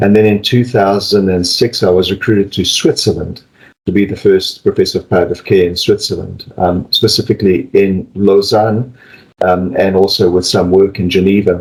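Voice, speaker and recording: With a South African accent, a man speaks at a moderate pace and with fairly even intonation. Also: fairly low pitch for a man. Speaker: palliative care physician and professor. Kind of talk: interview.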